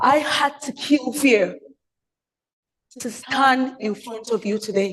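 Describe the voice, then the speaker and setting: Loud and high-pitched, a woman speaks at a very slow pace with ordinary pitch variation. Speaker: public speaker. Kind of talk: prepared speech. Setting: stage with audience.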